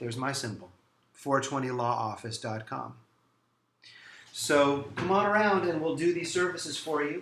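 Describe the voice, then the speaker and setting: Audible room echo surrounds a man who talks at a fairly quick pace in a fairly high pitch with lively intonation. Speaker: lawyer. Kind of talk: promotional talk to camera. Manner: fast.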